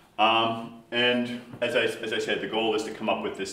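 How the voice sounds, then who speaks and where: With a fairly low pitch, a man talks in a room with audible echo and noticeable background noise. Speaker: professor. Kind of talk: lecture. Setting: seminar presentation. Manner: fast.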